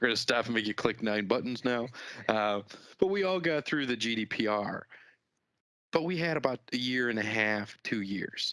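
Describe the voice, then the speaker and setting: A man with a Chicago accent talks at a moderate pace with medium pitch, lively intonation and a bright, sharp tone. The recording is very clean, with a silent background. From US Midwest, Chicago. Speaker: business executive. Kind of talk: podcast interview.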